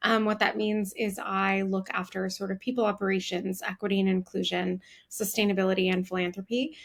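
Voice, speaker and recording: Fairly quick American-accented speech with flat, monotone intonation and very even loudness. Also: woman, medium pitch for a woman. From United States. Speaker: diversity and inclusion executive. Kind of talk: interview.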